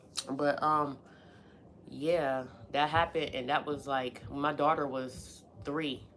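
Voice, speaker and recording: Heard with audible room echo, a woman with an American accent speaks at a fairly slow pace in a very deep, low pitch with fairly even intonation. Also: long, frequent pauses. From Pittsburgh, US. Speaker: live streamer. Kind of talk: casual chat. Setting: live stream at home. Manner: casual, conversational.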